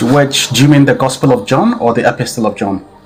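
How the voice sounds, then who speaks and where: A man's voice rises and falls in a typical way, with clear background noise behind it. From Italy. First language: Italian. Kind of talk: live debate. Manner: halting.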